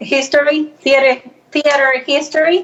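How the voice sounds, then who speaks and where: Noticeable background noise surrounds a woman talking in a Salvadoran accent. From El Salvador. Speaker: actress and filmmaker. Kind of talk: interview.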